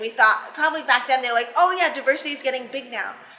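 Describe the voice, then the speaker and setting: A woman with a high pitch and lively intonation talks over noticeable background noise. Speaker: interviewer, channel host. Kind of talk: interview questions, casual talk.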